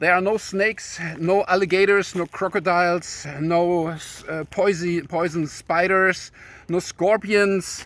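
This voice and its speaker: A man with a German accent, high-pitched and monotone with flat intonation, at a fairly slow pace, in a very clean recording with a silent background. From Germany. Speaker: YouTuber. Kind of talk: casual video talk. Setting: outdoors in a forest. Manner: halting, many fillers.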